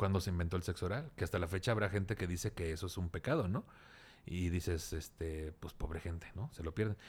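In a very clean recording with a silent background, a man talks at a very fast pace in a very deep, low voice with ordinary pitch variation. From Tampico, Tamaulipas, Mexico. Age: 40s. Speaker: comedian. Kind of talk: casual chat.

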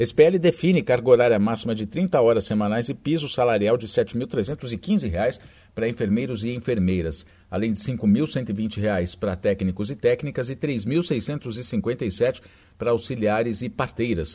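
Lively intonation from a man with a dark, mellow tone, at a moderate pace, in a very clean recording with a silent background. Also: medium pitch for a man. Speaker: radio news presenter. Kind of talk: news reading. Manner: formal.

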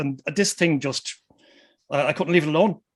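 With an Irish Midlands accent, a man speaks at a fairly quick pace. His pitch varies in an ordinary way. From Ireland, Westmeath. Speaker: musician. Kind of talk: casual chat.

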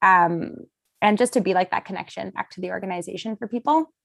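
In a Canadian accent, a woman with an ordinary speaking voice, medium pitch and ordinary pitch variation speaks at a fairly quick pace on a very clean recording with a silent background. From Vancouver suburbs, Canada (Surrey/North Delta). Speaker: outdoor inclusion advocate, nonprofit founder. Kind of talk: casual interview.

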